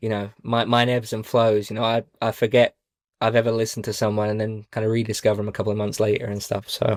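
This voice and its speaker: A man talks very fast with an English accent at a medium pitch. The sound is dry and close, with no echo. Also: very clean recording, silent background. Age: 20s. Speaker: country musician. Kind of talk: casual chat.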